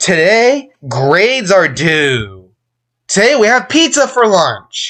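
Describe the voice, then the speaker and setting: A put-on character voice at middle pitch swings very widely in pitch. It moves at a fairly slow pace over a quiet background. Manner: expressive, fluctuating tone.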